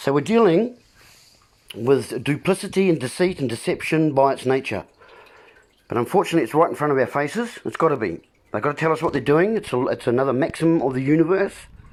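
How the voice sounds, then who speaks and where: A man talks at a very fast pace. He has a New Zealand accent. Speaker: video blogger. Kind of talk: casual monologue livestream. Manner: hesitant, many ums.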